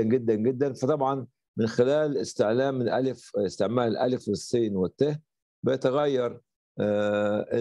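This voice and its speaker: A man speaks fairly slowly in a dark, mellow tone with ordinary pitch variation. The sound is dry with no echo, and the background is quiet. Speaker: lecturer. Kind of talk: lecture. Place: home room. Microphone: webcam.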